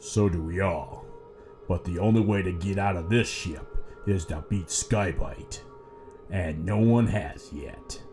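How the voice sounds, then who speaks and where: A man's put-on character voice, fairly low in pitch and fairly slow, over clear music in the background. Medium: audio drama.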